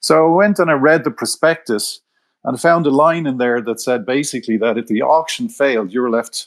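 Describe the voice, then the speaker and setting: In an Irish accent, a man speaks at a medium pitch with lively intonation. He keeps a moderate pace. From Ireland, Dublin. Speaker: retired corporate treasurer turned precious metals writer. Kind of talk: podcast interview.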